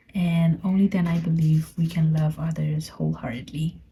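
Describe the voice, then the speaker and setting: A woman with a Burmese accent, a fairly low pitch and a dark, mellow, somewhat breathy tone, at a moderate pace. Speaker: podcaster. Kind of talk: personal reflective monologue. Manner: halting.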